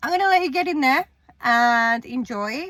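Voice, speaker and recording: A woman with a New Zealand accent, high-pitched with a bright, sharp tone and very wide pitch swings, at a moderate pace, in a very clean recording with a silent background. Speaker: fitness coach and vlogger. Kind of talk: casual vlog talk. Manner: casual, some hesitations.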